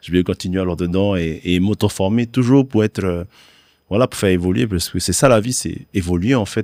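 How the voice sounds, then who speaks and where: Very deep and low, a man's dark, mellow voice moves at a fairly quick pace with ordinary pitch variation, recorded very cleanly with a silent background and a dry, close sound with no echo. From Tahiti, French Polynesia. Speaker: singer-guitarist. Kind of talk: casual interview. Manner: hesitant, many fillers.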